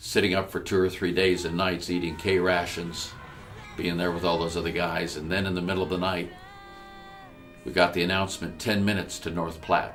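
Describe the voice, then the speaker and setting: A man speaks at a fairly quick pace with a very deep, low pitch and monotone, flat intonation. Music plays in the background. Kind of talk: storytelling address.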